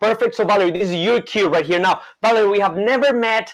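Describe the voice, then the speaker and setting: Animated in tone, a man with a high pitch speaks at a fairly quick pace with ordinary pitch variation. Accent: Colombian. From Colombia, Bogota. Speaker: magician. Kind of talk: live magic performance with volunteer. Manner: fast.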